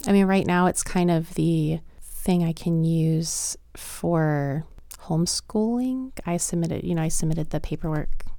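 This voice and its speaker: A woman's dark, mellow tone with an American accent, ordinary pitch variation, and a fairly slow pace. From US South, Lynchburg, Virginia. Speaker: teacher and homeschooling mom. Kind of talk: casual interview.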